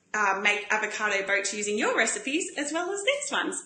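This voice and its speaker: A woman uses a raised, projected voice at a moderate pace, her pitch swinging very widely. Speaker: paleo cooking show host. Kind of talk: live-stream cooking demo. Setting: Facebook live stream. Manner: chatty, animated.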